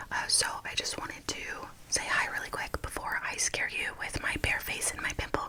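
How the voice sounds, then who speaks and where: Under noticeable background noise, a woman whispers at a moderate pace. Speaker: ASMR creator and working mother. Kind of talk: casual talk to camera, ASMR makeup tutorial. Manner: whispered, soft-spoken.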